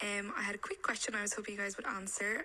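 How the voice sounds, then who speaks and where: Against noticeable background noise, a woman speaks with an Irish accent. Her pitch is medium. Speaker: listener sending a voice note. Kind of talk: recorded voice message. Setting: voice note.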